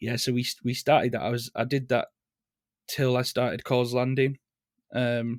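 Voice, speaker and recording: A man speaks with a Leeds accent in a monotone, flat way, leaving long, frequent pauses. The sound is dry and close, without echo. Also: medium pitch for a man, moderate pace. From northern England, Leeds. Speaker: singer in a band. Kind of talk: casual interview chat.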